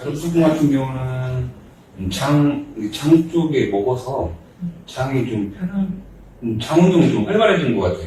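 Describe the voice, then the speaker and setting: Amid noticeable background noise, a man speaks at a very slow pace, with very wide pitch swings and big swings in loudness. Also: medium pitch for a man. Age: 40s. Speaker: clothing business owner. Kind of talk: testimonial interview answer.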